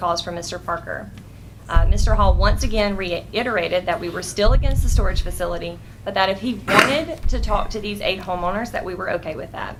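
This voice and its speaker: A woman with an American accent talks at a fairly quick pace with ordinary pitch variation. Audible room echo and noticeable background noise accompany her. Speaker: neighborhood association representative speaking at public meeting. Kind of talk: public comment at county board meeting. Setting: county board meeting room. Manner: fast.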